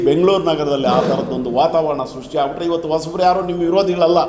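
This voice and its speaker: A high-pitched male voice with audible room echo and noticeable background noise. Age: 70s. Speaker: Dalit movement leader. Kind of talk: speech at a meeting. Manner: halting, many pauses.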